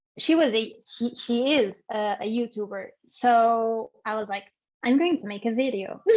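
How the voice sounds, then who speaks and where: A woman with a non-native accent and fairly high pitch speaks at a fairly slow pace with ordinary pitch variation. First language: not English. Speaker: business owner, brand designer. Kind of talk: interview. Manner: halting.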